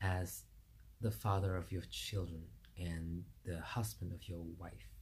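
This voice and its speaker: A man speaks in a somewhat breathy voice with a dark, mellow tone. His intonation is lively, and the room echo is audible. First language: French. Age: 40s. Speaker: vlogger. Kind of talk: personal monologue vlog. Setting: video recorded to camera. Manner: halting.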